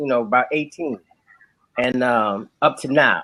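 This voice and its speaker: This is a man talking. He has a New Orleans accent. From New Orleans, Louisiana. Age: 40s. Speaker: musician and author. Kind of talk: casual chat.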